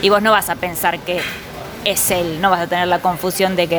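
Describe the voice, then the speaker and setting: With noticeable background noise behind her, a woman speaks at a fairly quick pace and medium pitch. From Buenos Aires, Argentina. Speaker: visual artist. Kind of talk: interview. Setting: bar.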